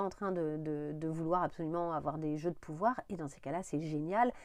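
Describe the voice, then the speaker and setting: Fairly quick speech from a woman, fairly low in pitch and dark and mellow in tone, against a quiet background. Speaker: tarot reader. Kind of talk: tarot reading monologue. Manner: hesitant with fillers.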